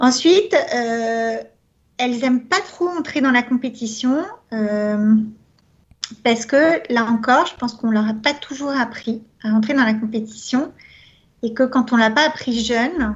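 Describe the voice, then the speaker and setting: The woman's high-pitched voice shows ordinary pitch variation. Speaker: entrepreneur and consultant. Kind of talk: radio interview.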